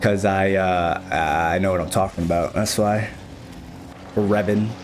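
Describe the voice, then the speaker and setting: With an American accent, a man speaks at a moderate pace in a fairly low, flat monotone, with noticeable background noise and audible room echo. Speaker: gaming coach, streamer. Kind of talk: replay analysis commentary.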